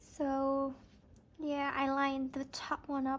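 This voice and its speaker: A woman's high voice with a non-native accent. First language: not English. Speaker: planner and stationery YouTuber. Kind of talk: casual craft tutorial chat. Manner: soft-spoken; hesitant, self-correcting.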